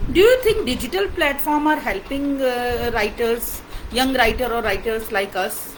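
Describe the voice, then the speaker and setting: In an Indian accent, a woman speaks at a fairly slow pace with a high pitch and lively intonation. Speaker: interviewer, writer. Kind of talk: interview.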